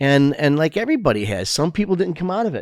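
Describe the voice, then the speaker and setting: This man talks at a fairly quick pace with lively intonation and a Chicago accent. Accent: Chicago American English. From Chicago, US Midwest. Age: 60s. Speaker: entertainment and food business owner, community leader. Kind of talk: casual interview chat. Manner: halting, many fillers and restarts.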